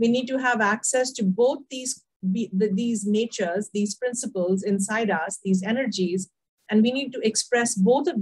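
The voice is somewhat breathy, with ordinary pitch variation, at a fairly slow pace. The background is quiet. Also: woman. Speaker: leadership coach guest speaker. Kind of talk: interview answer. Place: home room. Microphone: video call.

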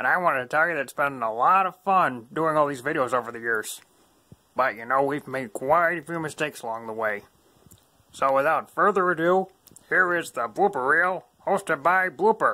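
In a cheerful tone, the speaker performs a cartoonish character voice at middle pitch. The pace is moderate, broken by long, frequent pauses. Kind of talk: children's puppet show. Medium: puppet show. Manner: cheerful, friendly, a bit cheeky.

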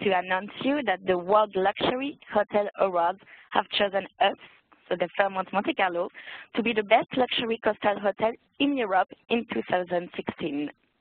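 A woman with a French accent speaks at a moderate pace and a medium pitch. Her pitch varies in an ordinary way, and her loudness stays very even. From France. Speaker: hotel events coordinator. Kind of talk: sales presentation.

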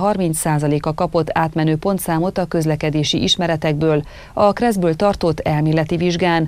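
Pitch variation here is ordinary. The pace is fairly slow. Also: woman. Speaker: news anchor. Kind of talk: news reading. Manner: formal. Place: studio.

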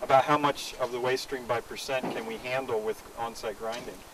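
A man talks at a fairly quick pace with a fairly bright tone. His intonation stays fairly even over faint background noise. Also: medium pitch for a man.

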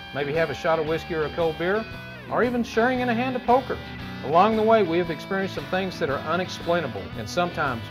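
Music plays in the background as a man with an American accent speaks very fast, his fairly high voice swinging very widely in pitch. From Texas. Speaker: paranormal investigator. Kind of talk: TV show promo narration.

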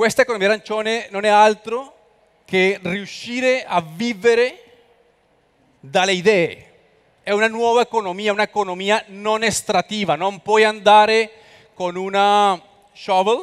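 A high-pitched man's voice with a Spanish accent, moderately paced with ordinary pitch variation, against a quiet background. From Colombia. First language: Spanish (speaking Italian). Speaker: expert on creative economy; guest. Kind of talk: conference talk. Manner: halting. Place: hall. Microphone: headset.

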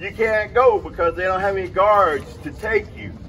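Man's voice with lively intonation and noticeable background noise. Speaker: former Parchman inmate speaker. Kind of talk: rally speech.

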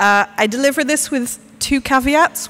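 A high-pitched woman's voice with music in the background. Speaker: panel speaker, art researcher. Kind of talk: conference talk. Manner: pauses for breath.

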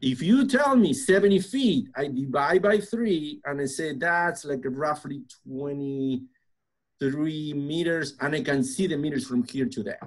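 A man's fairly high voice with a Spanish accent, lively intonation and a fairly slow pace against a quiet background. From Argentina. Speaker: construction preconstruction director; podcast guest. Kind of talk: interview conversation. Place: office. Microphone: webcam.

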